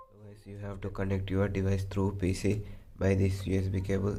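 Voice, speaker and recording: Somewhat breathy, with a dark, mellow tone, a man talks at a fairly low pitch in a monotone, flat way. Audible room echo surrounds his voice. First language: not English. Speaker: tech tutorial youtuber. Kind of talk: tutorial.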